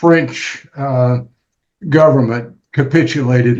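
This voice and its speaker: This man has an American accent. There is a somewhat breathy quality to his voice. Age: 80s+. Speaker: retired lawyer. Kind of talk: casual chat. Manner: halting.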